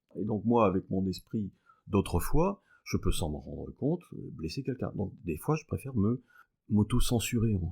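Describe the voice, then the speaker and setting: A man with a dark, mellow tone and a fairly low pitch speaks with lively intonation and a somewhat breathy quality on a very clean recording with a silent background. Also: moderate pace. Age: 60s. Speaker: mathematics professor. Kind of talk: podcast interview. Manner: hesitant, many filler sounds.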